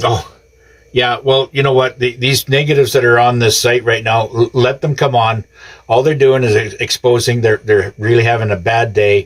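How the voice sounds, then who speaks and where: Somewhat breathy at a medium pitch, a man talks at a moderate pace with fairly even intonation. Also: very even loudness. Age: 70s. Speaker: live streamer. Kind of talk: casual livestream talk. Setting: live stream. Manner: halting, many fillers.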